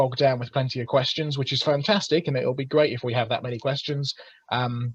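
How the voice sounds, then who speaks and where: A man with an English accent has a fairly high, somewhat breathy voice and fairly even intonation. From England. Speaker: creationist speaker. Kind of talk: webinar presentation. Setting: video call. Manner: hesitant with fillers.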